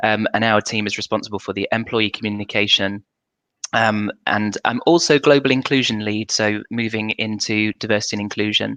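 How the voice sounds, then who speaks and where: With a British accent, a man speaks in a bright, sharp tone and fairly even intonation, the sound dry and close with no echo. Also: fairly low pitch for a man, fairly quick pace. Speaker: corporate communications manager. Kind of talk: panel discussion. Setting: video livestream.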